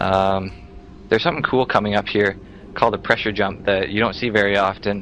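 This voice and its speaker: Over music in the background, the speaker talks at a very fast pace with fairly even intonation. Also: man. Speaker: speedrunner commentator. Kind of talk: game commentary. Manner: halting, with fillers.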